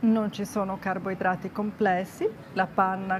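A woman's speech comes with light background noise. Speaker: nutrition vlogger. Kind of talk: casual vlog chat. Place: street. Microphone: lapel.

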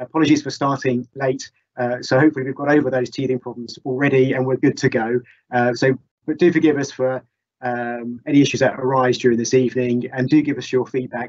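Against a quiet background, a man speaks at a very fast pace with monotone, flat intonation. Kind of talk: meeting introduction. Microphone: webcam.

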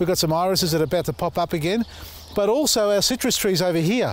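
Speaking with a high pitch, a man keeps a fairly quick pace. The sound is dry with no echo. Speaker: gardening channel host. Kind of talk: casual gardening tutorial. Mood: relaxed, cheerful. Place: garden.

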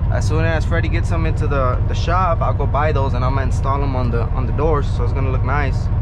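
Loud background noise fills the recording. The speech moves at a moderate pace. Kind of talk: casual vlog chat. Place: car. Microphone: phone near.

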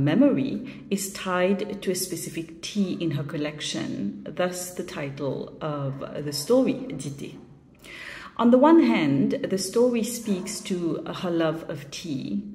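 In a Mauritian accent, a woman speaks at a very slow pace, her pitch swinging very widely. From Mauritius. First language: Mauritian Creole. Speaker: short story writer. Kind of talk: video statement about her shortlisted story. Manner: reflective, with frequent fillers.

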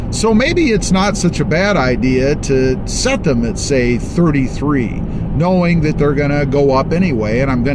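The voice comes at a moderate pace, with a dry sound and no echo. Loud background noise runs underneath. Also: man. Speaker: truck channel host. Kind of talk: casual vlog chat. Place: car. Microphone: phone near.

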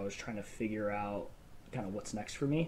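A man's dark, mellow tone over light background noise. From Phoenix, Arizona; Arizona. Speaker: realtor and real estate investor; podcast guest. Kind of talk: casual interview chat. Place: home room. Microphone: earbuds.

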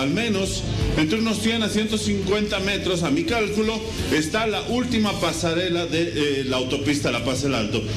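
Over clear background music, a man with a high pitch speaks at a fairly slow pace. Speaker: field reporter. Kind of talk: live news report. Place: street. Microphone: handheld.

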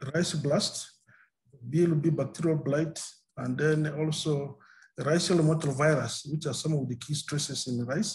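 The man's somewhat breathy voice moves at a fairly slow pace with fairly even intonation. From Uganda. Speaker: maize breeder. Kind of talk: webinar presentation. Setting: video call. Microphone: video call.

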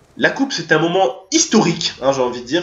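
Talking at a fairly quick pace with an animated tone, a man with a high pitch is heard amid audible room echo. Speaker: YouTuber; gaming youtuber. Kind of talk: casual vlog to subscribers. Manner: fast. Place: home room.

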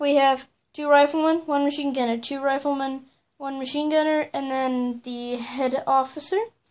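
A high-pitched woman speaks at a moderate pace. Her intonation stays monotone and flat. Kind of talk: casual show-and-tell narration. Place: home room. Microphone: phone near.

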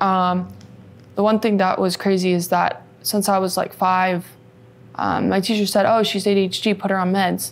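A woman speaks at a fairly slow pace in an American accent. Her intonation is monotone and flat. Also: very even loudness. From US West Coast, California Bay Area. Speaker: adult film actress. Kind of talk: interview, personal life story. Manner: hesitant, many fillers. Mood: serious, recounting painful past. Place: studio.

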